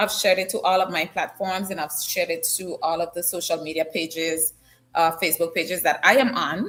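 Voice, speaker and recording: Over music in the background, a woman with a fairly low pitch talks at a fairly quick pace with ordinary pitch variation. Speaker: news talk show host. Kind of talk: live-stream news talk. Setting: live stream from an unusual location. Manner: casual and chatty.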